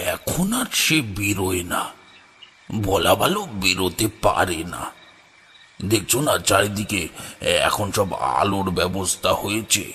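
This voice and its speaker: A man puts on a character voice, pitched fairly low and delivered at a very slow pace. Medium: audio drama. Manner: low, measured, ominous.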